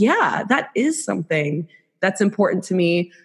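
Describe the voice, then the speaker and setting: This woman has an American accent and a somewhat breathy voice. She speaks at a moderate pace. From South Florida. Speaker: podcast co-host.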